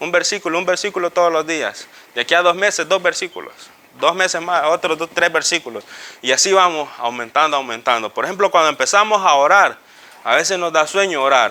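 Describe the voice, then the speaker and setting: The speaker is a man with a high pitch and ordinary pitch variation. He moves along at a fairly quick pace. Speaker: Bible teacher. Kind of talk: Bible class teaching. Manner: fast.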